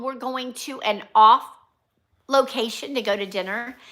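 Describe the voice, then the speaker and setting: A woman speaks in a raised, projected voice at a high pitch, her tone bright and sharp. Her pace is fairly slow. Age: 60s. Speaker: nurse and vlogger. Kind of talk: casual livestream chat. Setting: live stream from home.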